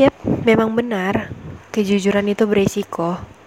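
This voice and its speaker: With a dry, close sound with no echo and noticeable background noise, a woman speaks at a moderate pace in a monotone, flat intonation. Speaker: university student devotional podcast host. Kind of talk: casual devotional talk.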